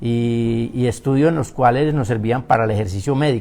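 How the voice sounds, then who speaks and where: The very clean recording, with a silent background, carries a voice in a Paisa accent. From Colombia, Paisa region. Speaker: physician. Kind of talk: interview. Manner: slow, drawn-out speech; hesitant, many fillers.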